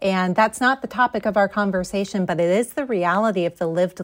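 In a normal speaking voice, a woman with an American accent talks at a moderate pace with lively intonation. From New Jersey. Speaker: education consultant and author. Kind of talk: interview.

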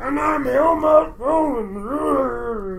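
A man's put-on character voice, pitched high, with clear background noise. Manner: comic.

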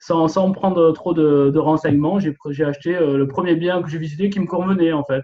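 A fairly high-pitched man at a moderate pace, fairly even in intonation, with hardly any pauses. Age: 40s. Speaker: real estate investor and paramedical worker. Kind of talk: interview. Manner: halting, many repetitions and fillers.

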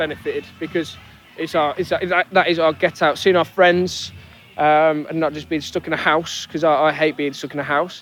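A man's fairly high voice at a fairly quick pace with fairly even intonation. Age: 20s. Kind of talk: interview testimony. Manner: casual, hesitant with fillers.

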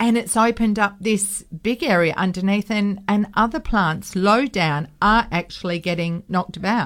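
In an Australian accent, a woman speaks at a moderate pace and medium pitch, with ordinary pitch variation, very even loudness and hardly any pauses, on a very clean recording with a silent background. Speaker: radio co-host and horticulturalist. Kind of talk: casual radio chat and interview. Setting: radio studio.

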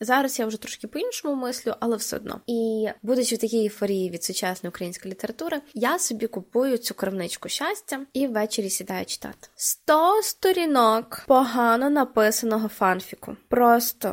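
In a normal speaking voice, a woman with a fairly high pitch talks at a moderate pace with lively intonation. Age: 20s. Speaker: podcast host. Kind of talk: solo podcast monologue.

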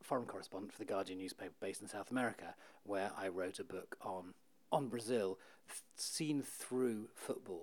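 A man with a British accent speaks at a fairly quick pace with ordinary pitch variation. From UK. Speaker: author and journalist. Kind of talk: interview.

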